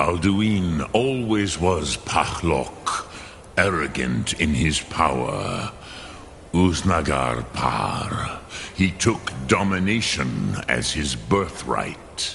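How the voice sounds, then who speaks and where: A put-on character voice speaks at a very slow pace. Clear background noise is present. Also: man, very deep, low pitch for a man. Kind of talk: ancient wise mentor. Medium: video game. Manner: slow, measured, solemn.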